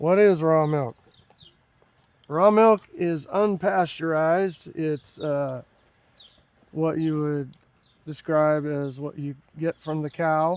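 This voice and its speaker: A man with an American accent speaks very slowly, leaving long, frequent pauses. His pitch is fairly high, with ordinary variation. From Northern California. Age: 60s. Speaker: dairy farmer. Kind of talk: interview. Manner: hesitant with many fillers.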